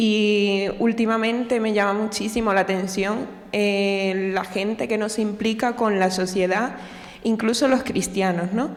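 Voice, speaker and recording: A woman speaks at a fairly slow pace and medium pitch, with fairly even intonation and very even loudness. Noticeable background noise and audible room echo fill the recording. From Cuba. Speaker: audience member asking a question. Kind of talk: audience question. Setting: lecture hall with audience.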